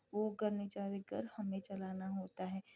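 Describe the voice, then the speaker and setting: A somewhat breathy voice with monotone, flat intonation and a dry, close sound with no echo. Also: woman. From India, Gujarat. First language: Gujarati (speaking Hindi). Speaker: homemaker vlogger. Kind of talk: vlog voice-over. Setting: home voice-over recording. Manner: casual, with fillers.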